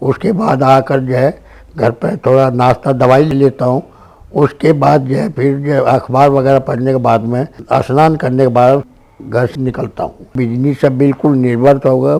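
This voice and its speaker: This man's medium-pitched voice has a dark, mellow tone and fairly even intonation. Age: 70s. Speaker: businessman and religious community leader. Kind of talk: interview.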